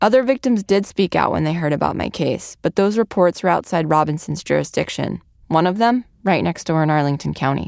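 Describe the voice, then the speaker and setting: With an American accent and a normal speaking voice, a woman talks at a fairly low pitch and fairly quick pace with lively intonation and hardly any pauses, in a dry, close sound with no echo on a very clean recording with a silent background. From Virginia. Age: 30s. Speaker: radio reporter. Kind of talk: narrated documentary.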